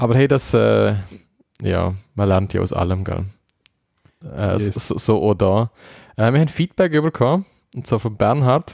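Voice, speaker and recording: In a very clean recording with a silent background, a man with a fairly low pitch and lively intonation talks at a moderate pace with long, frequent pauses. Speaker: podcast co-host. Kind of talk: casual chat.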